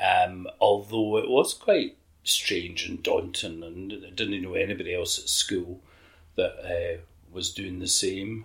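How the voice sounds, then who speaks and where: A man with a Scottish accent swings widely in loudness on a very clean recording with a silent background. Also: fairly slow pace. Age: 50s. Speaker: LGBTQ activist. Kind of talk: interview reminiscence.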